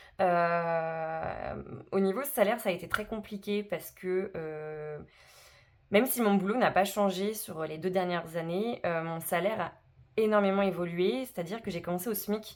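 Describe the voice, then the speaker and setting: The woman's voice sits at a medium pitch with ordinary pitch variation. She speaks at a fairly slow pace. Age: 30s. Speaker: personal finance vlogger. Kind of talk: casual vlog self-introduction. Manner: hesitant, many filler words.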